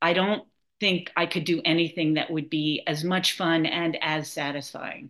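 A woman's normal speaking voice, fairly low in pitch, with an American accent, fairly even intonation and a moderate pace. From New York City, Manhattan. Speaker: nonprofit founder, cookbook author. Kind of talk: interview.

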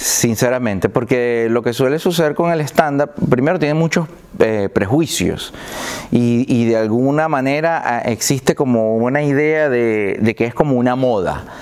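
Someone with a Venezuelan accent talks with ordinary pitch variation over noticeable background noise. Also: man, medium pitch for a man, fairly slow pace. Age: 40s. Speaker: comedian. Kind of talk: casual chat.

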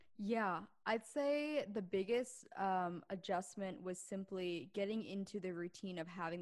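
With an American accent, a woman talks at a fairly slow pace in an unremarkable speaking voice, showing ordinary pitch variation, in a very clean recording with a silent background. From Pennsylvania, US. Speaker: podcaster and business consultant. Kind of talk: casual chat.

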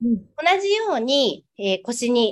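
Her voice is fairly high in pitch for a woman. It moves through very wide pitch swings. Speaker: acupuncturist and prenatal care salon owner. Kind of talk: interview; exercise tutorial.

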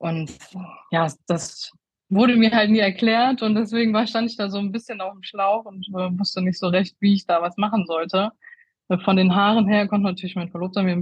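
Speaking at a moderate pace, a woman with a medium pitch sounds somewhat breathy, keeping her intonation fairly even while her loudness swings widely. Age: 30s. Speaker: make-up artist. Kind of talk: interview. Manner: halting, many fillers.

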